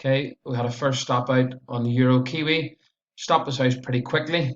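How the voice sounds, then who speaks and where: With a strong Belfast accent, a man talks at medium pitch. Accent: strong Northern Irish (Belfast). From Northern Ireland, Belfast area. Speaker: forex trader. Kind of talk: trading performance review tutorial. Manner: casual, hesitant with many uhs.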